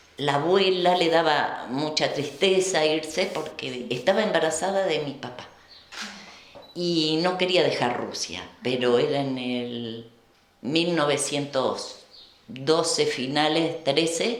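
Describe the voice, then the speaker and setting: A woman speaks at a very slow pace in a very deep, low pitch with ordinary pitch variation. Noticeable background noise and audible room echo come through. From Argentina, Buenos Aires province (Colonia Hinojo). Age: 70s. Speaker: Volga German descendant, former museum worker. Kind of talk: oral history interview. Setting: kitchen of a museum.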